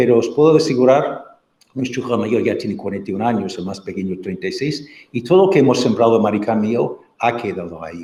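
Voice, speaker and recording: Lively intonation and a dark, mellow tone carry the fairly quick delivery. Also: man, medium pitch for a man. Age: 60s. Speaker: marriage and family formation speaker. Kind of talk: talk with audience questions. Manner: halting.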